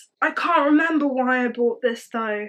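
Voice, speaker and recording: A woman speaks in an animated tone with a high pitch. Her pitch varies in an ordinary way. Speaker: book youtuber. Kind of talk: casual chat.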